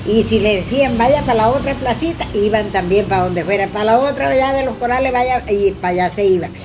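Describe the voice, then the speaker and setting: Over music in the background and audible room echo, a woman talks at a fairly quick pace with hardly any pauses, her fairly high voice rising and falling in lively intonation. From Venezuela, Apure plains (Guasdualito). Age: 70s. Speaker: elderly local resident. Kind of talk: oral history interview.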